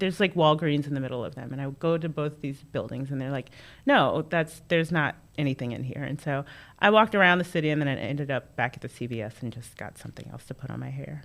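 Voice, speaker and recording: A woman with an American accent talks very fast in a very deep, low pitch with vocal fry, ordinary pitch variation and big swings in loudness. The recording is very clean, with a silent background. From North Carolina (Creedmoor), earlier Queens, New York. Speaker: political strategist. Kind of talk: casual chat.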